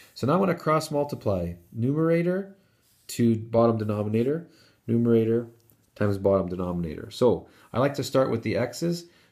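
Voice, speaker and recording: A man's medium-pitched voice with a dark, mellow tone, very wide pitch swings and a moderate pace. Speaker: math teacher. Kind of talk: tutorial.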